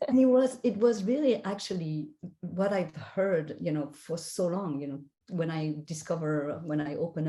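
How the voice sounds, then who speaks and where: In a French accent, a woman speaks with a very deep, low pitch, a dark, mellow tone and ordinary pitch variation. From France. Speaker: spiritual guide and life coach. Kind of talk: interview.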